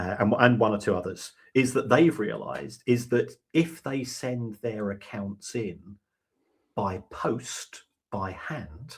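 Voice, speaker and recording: Somewhat breathy, a man speaks at a very slow pace. His medium pitch shows ordinary variation. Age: 60s. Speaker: football finance expert. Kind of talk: podcast interview.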